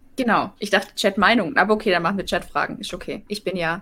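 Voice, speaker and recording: A woman with a Swabian accent speaks very fast in a bright, sharp tone with vocal fry and fairly even intonation. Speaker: live chat moderator. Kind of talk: reading viewer questions in live stream.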